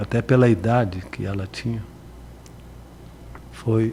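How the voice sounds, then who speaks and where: A man's medium-pitched voice at a fairly slow pace, with fairly even intonation and noticeable background noise. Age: 70s. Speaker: radio broadcaster. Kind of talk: interview.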